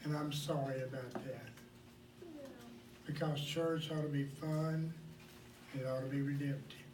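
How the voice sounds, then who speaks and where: At a fairly high pitch, a man in an American accent speaks at a fairly slow pace with long, frequent pauses and monotone, flat intonation, amid audible room echo and noticeable background noise. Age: 60s. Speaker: pastor. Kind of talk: sermon.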